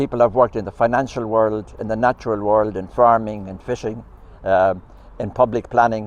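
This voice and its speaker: Talking in an Irish accent, a man keeps a medium pitch and a monotone, flat intonation at a fairly quick pace. His loudness swings widely. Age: 80s+. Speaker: retired community advocate. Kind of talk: public talk.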